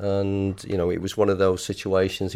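A man with a Lancashire accent speaks at a fairly low pitch in a monotone, flat intonation. The recording is very clean, with a silent background. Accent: northern English (Lancashire). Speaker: retired footballer. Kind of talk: casual interview.

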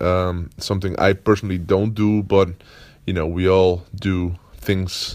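The speech moves at a very slow pace with fairly even intonation. The recording is very clean with a silent background. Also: man. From Netherlands. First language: Dutch. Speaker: podcast host, productivity coach. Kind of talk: casual solo monologue. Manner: halting, many fillers and repetitions.

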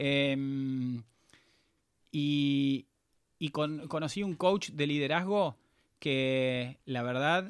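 A man speaks in a Rioplatense accent at a fairly high pitch. His pitch varies in an ordinary way. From Argentina, Pilar, Buenos Aires province. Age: 30s. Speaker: entrepreneur. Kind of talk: interview.

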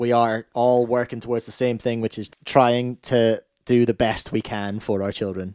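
A man with a Scottish accent speaks at a medium pitch and moderate pace in a monotone, flat intonation. The recording is very clean, with a silent background and a dry, close sound with no echo. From Scotland. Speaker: podcast host and former radio broadcaster. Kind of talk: casual chat.

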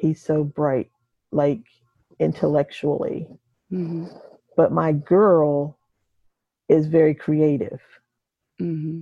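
A woman speaks very slowly with very deep, low pitch and fairly even intonation. She leaves long, frequent pauses. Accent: American. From Delaware / Maryland Eastern Shore. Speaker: retired teacher. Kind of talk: casual interview.

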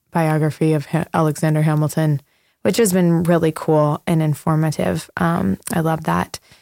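A woman with a plain, everyday voice, fairly low in pitch and fairly even in intonation, dry and close with no echo, on a very clean recording with a silent background. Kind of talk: casual chat.

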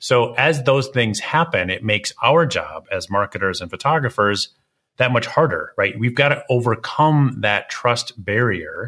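A man's bright, sharp tone in a very clean recording with a silent background. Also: medium pitch for a man, ordinary pitch variation. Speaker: podcast host and portrait photographer. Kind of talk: interview podcast. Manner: fast; animated.

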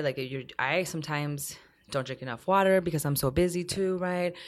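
On a very clean recording with a silent background, the talking goes at a fairly quick pace. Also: woman. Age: 30s. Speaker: immigrant rights and reproductive justice activist. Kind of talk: casual chat.

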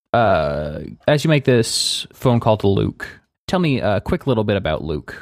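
Using vocal fry and very wide pitch swings, a man speaks fairly slowly at a medium pitch. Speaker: game master of tabletop roleplay podcast. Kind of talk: tabletop roleplay narration. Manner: puts affectation on voice in intros.

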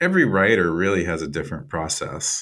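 Speaking at a moderate pace with an American accent, a man makes very wide pitch swings on a very clean recording with a silent background. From US Midwest, Iowa. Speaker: writer and nonprofit director. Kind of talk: interview. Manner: halting, many repeated words.

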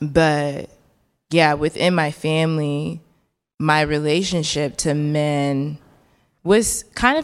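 A woman speaks with an American accent and a very deep, low pitch. The recording is very clean, with a silent background. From Chicago, US Midwest. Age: 20s. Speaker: visual artist. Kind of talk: live onstage conversation. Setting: stage with audience.

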